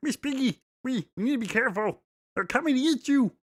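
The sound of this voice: Delivered at a very fast pace, this put-on character voice sits at a fairly high pitch.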